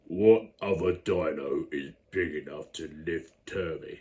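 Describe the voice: A man puts on a character voice, raspy and very deep. He talks at a fairly slow pace.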